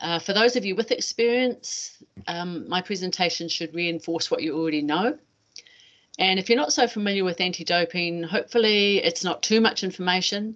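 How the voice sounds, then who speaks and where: A woman with a New Zealand accent and fairly low pitch, ordinary pitch variation and a quiet background. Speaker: anti-doping educator, former athlete. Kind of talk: webinar presentation. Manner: fast at times.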